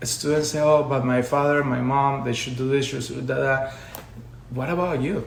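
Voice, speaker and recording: Amid audible room echo, a man speaks at medium pitch with fairly even intonation. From Colombia. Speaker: education consultant. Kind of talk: live stream talk. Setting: social media live video.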